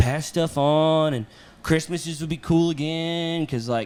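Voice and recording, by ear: Moving at a slow pace, a man speaks with a fairly high pitch, ordinary pitch variation and a slightly mellow tone.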